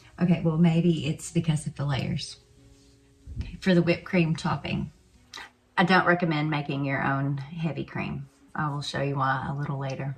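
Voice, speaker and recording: With long, frequent pauses and music in the background, a woman in an Arkansas accent speaks with a very deep, low pitch and fairly even intonation. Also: moderate pace. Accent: Southern US (Arkansas). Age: old. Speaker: home cook. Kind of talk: casual cooking video talk to camera. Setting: home kitchen.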